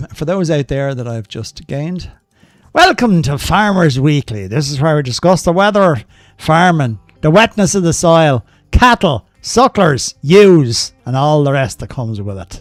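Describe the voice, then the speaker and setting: Speaking at a moderate pace in a strong Irish accent, a man with a fairly high pitch makes very wide pitch swings and big swings in loudness, his sound dry and close with no echo and music in the background. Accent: thick Irish. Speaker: gaming streamer. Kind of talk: live gaming stream commentary.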